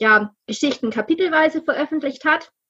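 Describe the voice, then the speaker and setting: Talking at a medium speed, a woman lets her pitch vary in a normal way. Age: 30s. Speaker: novelist. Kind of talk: interview.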